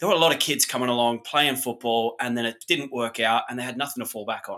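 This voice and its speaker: A man's bright, sharp, medium-pitched voice in an Australian accent, ordinary pitch variation, very fast pace. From Australia, remote outback town. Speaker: hotel industry executive. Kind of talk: interview.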